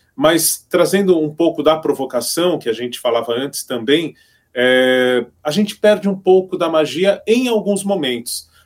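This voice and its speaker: A man with an ordinary speaking voice, fairly high in pitch, fairly slow, with lively intonation. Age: 50s. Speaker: radio broadcaster and teacher. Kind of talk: casual chat.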